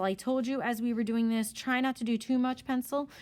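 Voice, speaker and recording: A woman speaks with a high-pitched voice. Her pace is fairly quick. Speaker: art teacher. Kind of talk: tutorial. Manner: fast.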